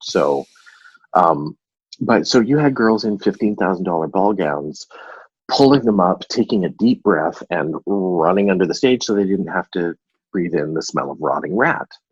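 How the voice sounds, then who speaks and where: A man with a Canadian accent has an unremarkable speaking voice, pitched fairly low, with lively intonation at a moderate pace. The sound is dry and close with no echo. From Vancouver, Canada. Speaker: actor. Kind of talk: interview answer. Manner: casual, anecdotal.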